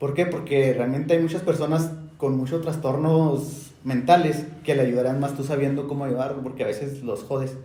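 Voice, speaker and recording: A man's fairly high, monotone, flat voice at a moderate pace with hardly any pauses, plus noticeable background noise and audible room echo. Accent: Mexican. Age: 20s. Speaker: podcast host. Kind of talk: casual chat.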